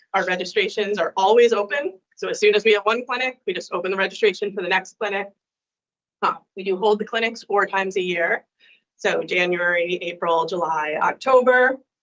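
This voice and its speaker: A woman speaks in a medium pitch, and her pitch moves in an ordinary way. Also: fairly quick pace. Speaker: legal aid program presenter. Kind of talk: presentation at public commission meeting. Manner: fast.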